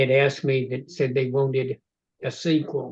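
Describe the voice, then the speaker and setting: This man, somewhat breathy and fairly high-pitched, talks at a moderate pace with ordinary pitch variation. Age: 80s. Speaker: novelist. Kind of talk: casual chat. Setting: video call.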